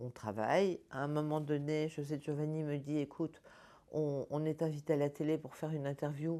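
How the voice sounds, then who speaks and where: On a very clean recording with a silent background, a woman speaks at a moderate pace in a very deep, low pitch, her tone dark and mellow and her intonation monotone and flat. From Paris region, France. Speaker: spiritual healer. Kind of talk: personal testimony. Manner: halting, repeats words.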